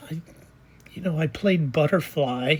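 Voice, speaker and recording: This woman's voice sounds somewhat breathy. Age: 70s. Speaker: personal vlogger sharing life story. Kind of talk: personal testimony monologue. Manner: casual, hesitant with fillers.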